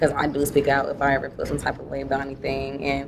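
A woman with an American accent, a very deep, low pitch and a very fast pace, against noticeable background noise. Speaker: business consultant. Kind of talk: panel interview.

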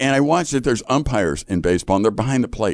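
A man with an American accent, vocal fry, a very fast pace and very wide pitch swings. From US Midwest, Chicago. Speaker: Bible institute teacher and ranch ministry leader. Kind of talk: casual chat about scripture. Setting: studio.

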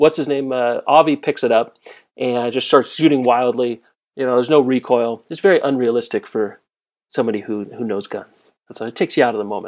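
On a very clean recording with a silent background, a man with an American accent and a medium pitch uses an ordinary speaking voice, speaking at a fairly quick pace with ordinary pitch variation. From Southern California. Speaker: podcast guest. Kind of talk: casual chat.

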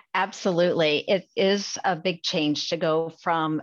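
A woman speaks with a Midwestern American accent in a fairly low voice. Her intonation is fairly even, and the background is quiet. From Iowa, US Midwest. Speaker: pharmacy school dean. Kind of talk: interview.

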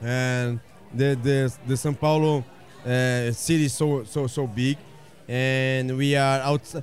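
Against noticeable background noise, a man talks at a medium pitch and a fairly slow pace, with fairly even intonation and long, frequent pauses. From Brazil. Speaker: butcher and restaurant owner. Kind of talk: casual interview. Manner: halting, repeats words.

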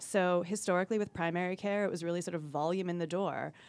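This is an unremarkable speaking voice. The intonation is fairly even. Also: woman. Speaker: life sciences industry advisor. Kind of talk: casual professional discussion.

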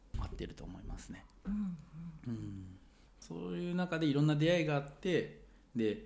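Speaking at a fairly high pitch, a man swings very widely in pitch and greatly in loudness. He takes long, frequent pauses, and room echo is audible. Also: moderate pace. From Japan, Sendai (Miyagi). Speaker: engineer. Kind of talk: casual interview chat.

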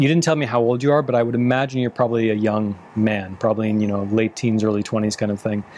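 Here is a man with a plain, everyday voice at a medium pitch. He moves at a fairly quick pace with fairly even intonation. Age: 30s. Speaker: relationship coach and podcast host. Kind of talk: advice Q&A monologue.

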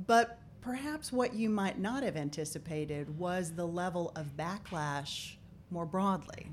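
A plain, everyday voice, fairly slow, with lively intonation. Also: woman, fairly low pitch for a woman. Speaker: podcast host. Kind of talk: interview.

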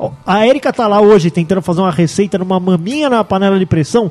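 A man's high voice at a very fast pace. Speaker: podcast co-host. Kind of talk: casual chat.

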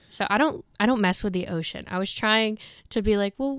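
With a North Carolina accent, a woman speaks at a fairly high pitch and with lively intonation. The recording is very clean against a silent background. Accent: Southern US, North Carolina. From rural North Carolina. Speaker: recent graduate, former tour guide. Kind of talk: casual chat.

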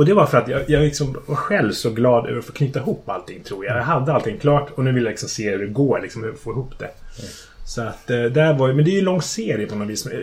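Noticeable background noise sits under a man speaking at a very fast pace. His medium pitch carries lively intonation, and his loudness swings widely. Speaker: fantasy author. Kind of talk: casual chat. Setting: in his home kitchen, in person.

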